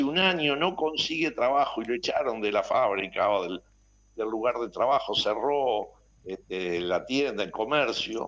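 Pitch swings very widely as a man speaks at a fairly slow pace. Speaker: pension board director representing retirees. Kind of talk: radio interview.

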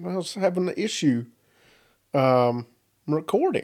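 In a very clean recording with a silent background, a man with a Southern US accent speaks in a dark, mellow tone with lively intonation. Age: 30s. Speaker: podcast host. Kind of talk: casual monologue.

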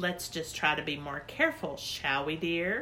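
At a moderate pace and middle pitch, a put-on character voice comes through clear background noise. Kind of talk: children's audiobook reading. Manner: tight-lipped, stiffly polite.

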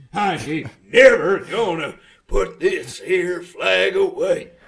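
A man in a put-on character voice, at a very slow pace. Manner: stubborn, defiant.

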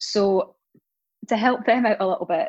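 The speaker has a Scottish accent. The background is quiet. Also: woman. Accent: Scottish, often mistaken for Irish. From Scotland. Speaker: podcast co-host. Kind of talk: casual chat and interview.

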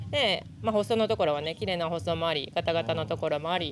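A woman at a fairly quick pace with vocal fry, in a very clean recording with a silent background. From Japan, Hokkaido (Sapporo). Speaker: professional gravel cyclist. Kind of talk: casual interview. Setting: outdoors at event venue.

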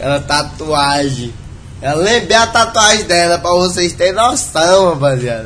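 A man talks at a high pitch, his voice making very wide pitch swings at a fairly slow pace. Noticeable background noise and audible room echo surround him. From Brazil, interior of Maranhão. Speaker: internet personality. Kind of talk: casual interview chat.

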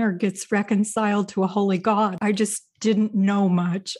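Against a quiet background, a woman with an American accent speaks at a fairly slow pace in a somewhat breathy voice. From US Midwest, Indiana. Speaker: former professor and podcast host. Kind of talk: testimony.

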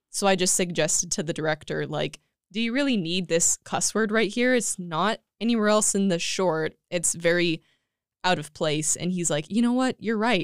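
With a Californian accent, a woman speaks at a moderate pace in a medium-pitched voice with ordinary pitch variation. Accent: Californian American. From California, Central Valley (Tulare). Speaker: film editor. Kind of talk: casual chat.

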